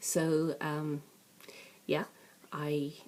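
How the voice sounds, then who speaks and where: A woman speaks with an Irish accent in a very deep, low pitch. Her tone is dark and mellow. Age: 50s. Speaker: crafting vlogger. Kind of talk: casual chat. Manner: chatty, hesitant with many fillers.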